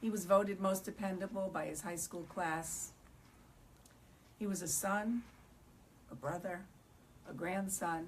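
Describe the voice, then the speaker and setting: A woman's medium-pitched voice at a fairly slow pace, with fairly even intonation and long, frequent pauses. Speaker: bereaved parent speaking on addiction. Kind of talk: panel talk. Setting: synagogue event with audience. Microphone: speaking without microphone.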